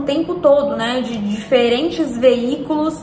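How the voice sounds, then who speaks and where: A woman at a high pitch with ordinary pitch variation, speaking at a fairly slow pace amid audible room echo and noticeable background noise. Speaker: self-development youtuber. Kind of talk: casual reflective monologue.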